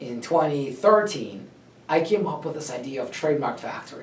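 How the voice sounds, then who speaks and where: A man at a fairly slow pace with lively intonation, over noticeable background noise. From Russia. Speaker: trademark lawyer, company founder. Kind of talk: personal story talk to camera.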